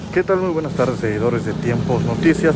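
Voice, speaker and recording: Through loud background noise, a man talks very fast with ordinary pitch variation and a dry sound with no echo. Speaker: news reporter. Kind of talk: on-scene news commentary. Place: street. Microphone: phone near.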